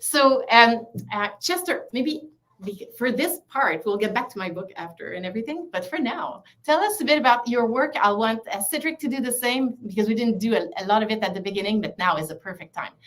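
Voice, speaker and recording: A woman in a Quebec accent at a fairly quick pace, fairly high in pitch, with lively intonation. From Quebec City, Canada. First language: French. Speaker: author and psychologist. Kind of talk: casual interview. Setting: livestream video call.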